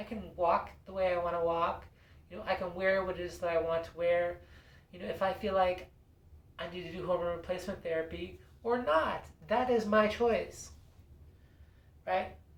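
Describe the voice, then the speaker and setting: A woman talks at a moderate pace with a fairly low pitch, ordinary pitch variation and long, frequent pauses. Her loudness swings widely, and background noise is noticeable. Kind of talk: casual talk to camera. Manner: hesitant, lots of fillers.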